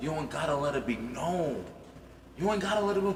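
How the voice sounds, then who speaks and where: A man talks very fast at a fairly high pitch, in a New York accent, his pitch swinging very widely. Noticeable background noise and audible room echo surround him. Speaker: podcast co-host. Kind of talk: casual chat. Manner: animated.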